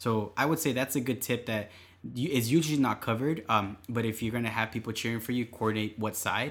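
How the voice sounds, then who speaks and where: The recording is very clean, and the background is silent. It is an unremarkable speaking voice, with ordinary pitch variation. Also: man. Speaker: podcast co-host and runner. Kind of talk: casual chat, running tips. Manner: relaxed, conversational.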